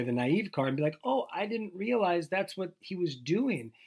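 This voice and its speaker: A man talks at a moderate pace in a normal speaking voice with lively intonation. The recording is very clean, with a silent background. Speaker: podcast co-host. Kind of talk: casual chat. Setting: home closet recording.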